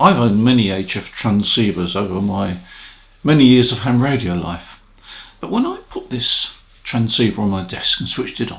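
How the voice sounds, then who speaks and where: A man speaks at a moderate pace with a medium pitch. His voice is somewhat breathy. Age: 80s+. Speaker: ham radio operator and equipment reviewer. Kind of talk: casual talk to camera, product review.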